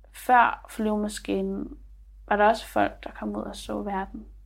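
A woman speaks at a fairly slow pace. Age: 30s. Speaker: filmmaker. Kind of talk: interview and advice column.

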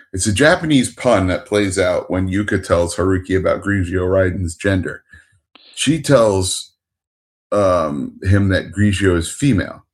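With ordinary pitch variation and a somewhat breathy quality, a man talks in a very deep, low voice on a very clean recording with a silent background. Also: fairly slow pace. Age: 50s. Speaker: podcast host. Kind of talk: casual chat.

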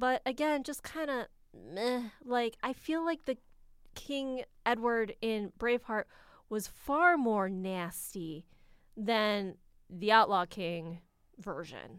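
Using lively intonation and a fairly high pitch, a woman with an American accent speaks at a very slow pace with long, frequent pauses. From United States. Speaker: podcast host, film reviewer. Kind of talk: casual chat. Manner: animated.

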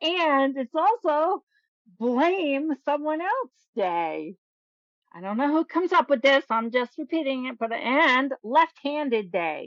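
A woman with a high voice talks with very wide swings in pitch. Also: dry, close sound with no echo. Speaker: co-host of writing show. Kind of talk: radio show hosting.

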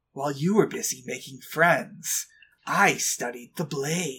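A man uses a raspy, put-on character voice at a fairly high pitch and a fairly slow pace. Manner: edgy, serious.

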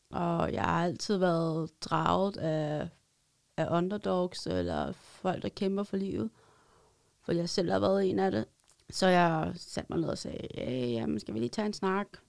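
A woman's normal speaking voice, fairly low in pitch, with lively intonation at a fairly slow pace. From Denmark, Roskilde. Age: 30s. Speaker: street newspaper vendor, former psychiatric patient. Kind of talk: studio interview, personal testimony. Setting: studio.

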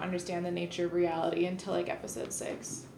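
Very fast speech over noticeable background noise. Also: woman. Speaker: podcast host and TV writer. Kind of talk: casual chat. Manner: animated.

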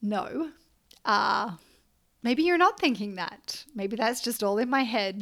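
With an Australian accent and lively intonation, a woman speaks at a very slow pace with long, frequent pauses. The recording is very clean, with a silent background. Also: fairly high pitch for a woman. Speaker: podcast host, coach. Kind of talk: casual monologue.

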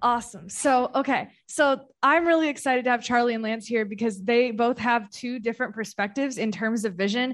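A woman's high-pitched, enthusiastic voice at a fairly quick pace, with hardly any pauses, ordinary pitch variation and a quiet background. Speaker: student organization moderator. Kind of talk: panel moderation. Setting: video call.

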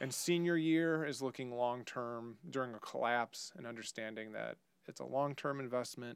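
A man with a plain, everyday voice and an American accent speaks at a moderate pace and medium pitch, on a very clean recording with a silent background. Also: ordinary pitch variation. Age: 30s. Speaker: bitcoin enthusiast and former poker player. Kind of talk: casual chat.

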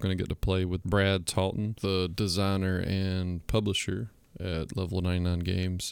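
A man with a Georgia accent and a fairly low pitch, at a moderate pace, in a very clean recording with a silent background. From South Georgia, US. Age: 30s. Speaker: podcast host. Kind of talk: announcements; casual chat.

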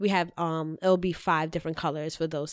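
In a New York accent, a woman speaks at a fairly low pitch with monotone, flat intonation, on a very clean recording with a silent background and a dry, close sound with no echo. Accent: New York City. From New York City, the Bronx. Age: 20s. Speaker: event organizer. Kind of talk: casual chat. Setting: studio.

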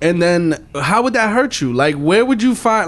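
Speaking at a moderate pace, a man's voice makes very wide pitch swings. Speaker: podcast host. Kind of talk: casual chat.

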